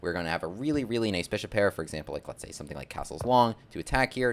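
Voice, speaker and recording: The tone is animated. The intonation is lively. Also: man. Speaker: chess content creator and gambit teacher. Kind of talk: chess tutorial. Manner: fast.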